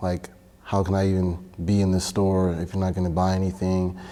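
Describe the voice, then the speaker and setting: A man speaks with a Miami accent in a very deep, low voice. His pace is moderate. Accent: Miami American English. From Miami, Florida. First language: Spanish. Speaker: church member. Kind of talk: interview testimony. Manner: casual, hesitant with fillers.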